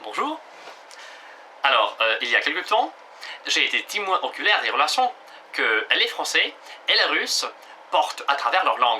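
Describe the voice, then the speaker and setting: Over noticeable background noise, a man speaks fairly slowly with long, frequent pauses. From Russia. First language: Russian (speaking French). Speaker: language teacher. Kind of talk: tutorial. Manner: halting, many hesitations.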